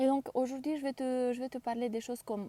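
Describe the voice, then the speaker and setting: A woman's fairly high voice with a non-native accent, dark and mellow in tone, in a dry, close sound with no echo. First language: not French (speaking French). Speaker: career change coach. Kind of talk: live stream talk. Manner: halting, frequent hesitations; deliberate, careful word choice.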